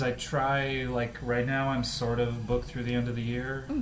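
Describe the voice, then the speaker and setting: Clear background noise runs under speech that moves fairly slowly. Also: man. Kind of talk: radio interview. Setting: studio. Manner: precise, forward.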